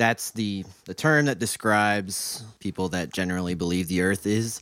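With an American accent, a man talks at a moderate pace in a very clean recording with a silent background. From US Midwest (Mansfield, Ohio). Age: 20s. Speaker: college student, guest co-host. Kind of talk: casual chat.

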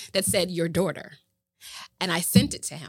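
A woman's fairly low voice with an American accent, vocal fry, and a dry, close sound with no echo. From Boston, Massachusetts. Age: 40s. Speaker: show host and entertainer, former rapper. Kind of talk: casual interview chat.

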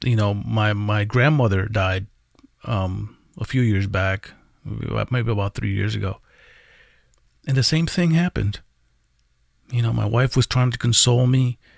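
Somewhat breathy and fairly low-pitched, this man talks at a moderate pace with ordinary pitch variation and long, frequent pauses. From Puerto Rico. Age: 40s. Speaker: vlogger. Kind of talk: personal confessional vlog. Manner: halting, many fillers and repeated words.

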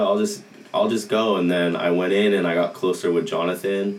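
Over noticeable background noise and audible room echo, a man with an American accent speaks in a flat monotone. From Southern California, Anaheim. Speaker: college soccer player. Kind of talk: casual interview.

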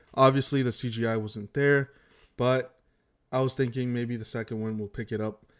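A man has an unremarkable speaking voice with medium pitch. He talks at a fairly quick pace with ordinary pitch variation. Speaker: podcast host. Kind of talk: casual chat about movies. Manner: rambling, self-correcting, repeats words.

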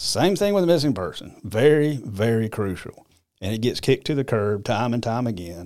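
With an American accent and an unremarkable speaking voice, this speaker uses lively intonation at a moderate pace on a very clean recording with a silent background. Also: man, medium pitch for a man. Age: 50s. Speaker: podcast host. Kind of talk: casual monologue.

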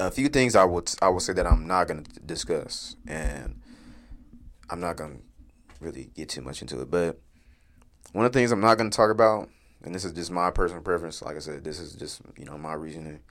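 With an American accent and vocal fry, a man with a very deep, low pitch speaks at a fairly quick pace, his lively intonation and big swings in loudness broken by long, frequent pauses. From Wichita, Kansas. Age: 20s. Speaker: podcast host. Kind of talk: casual solo monologue. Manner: halting, many fillers.

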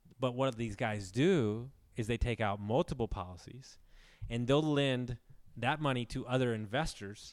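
This man has an American accent and a medium pitch, with ordinary pitch variation at a moderate pace. The recording is very clean, with a silent background. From Houston, Texas. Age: 30s. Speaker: real estate investor and coach. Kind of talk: casual chat. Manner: animated.

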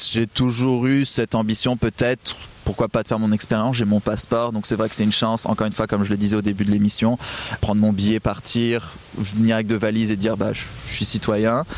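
At a very fast pace, a man with a fairly low pitch speaks in a flat monotone at very even loudness. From southwest France. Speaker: podcaster. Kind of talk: casual interview. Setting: outdoors by the water.

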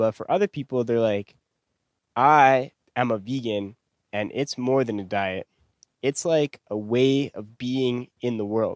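Long, frequent pauses break up this man's speech, which has ordinary pitch variation. The sound is dry and close, with no echo. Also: medium pitch for a man. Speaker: podcast host. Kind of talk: casual chat.

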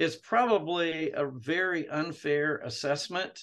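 A man with a plain, everyday voice, fairly high in pitch, at a fairly slow pace. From Jerusalem, then US. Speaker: retired theology professor. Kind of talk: interview.

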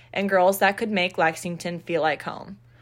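A woman with an unremarkable speaking voice and an American accent talks fairly quickly at a medium pitch with fairly even intonation. The recording is very clean, with a silent background. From Florida, Naples. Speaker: sorority recruitment chair, college student. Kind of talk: scripted podcast segment.

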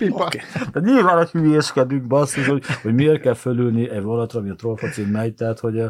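Over noticeable background noise, a man at a medium pitch speaks in an animated tone at a very fast pace. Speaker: comedian and football podcast co-host. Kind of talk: casual chat.

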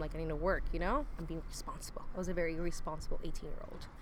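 A woman talks at a very fast pace in an American accent. Audible room echo surrounds her voice. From Northern California. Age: 30s. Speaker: podcast guest. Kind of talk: casual chat.

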